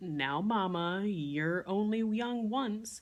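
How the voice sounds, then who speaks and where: A woman puts on a character voice at medium pitch, speaking at a very slow pace. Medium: read story. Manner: relaxed, indulgent.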